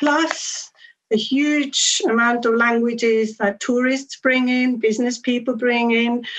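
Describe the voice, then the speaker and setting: Fairly slow, fairly even speech from a woman with a Swiss German accent and a fairly high pitch. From Switzerland. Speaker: language education academic. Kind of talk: conference talk. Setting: conference session with audience. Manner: hesitant, with frequent fillers.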